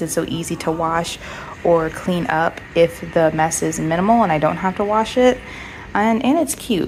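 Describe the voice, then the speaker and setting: Moderately paced female speech, fairly low in pitch, with ordinary pitch variation against noticeable background noise. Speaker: pet owner vlogger. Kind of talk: casual vlog narration.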